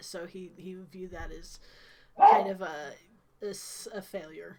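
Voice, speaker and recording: Fairly slow speech in an American accent, with big swings in loudness and noticeable background noise. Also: woman. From Ohio. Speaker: game master. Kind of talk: tabletop game session.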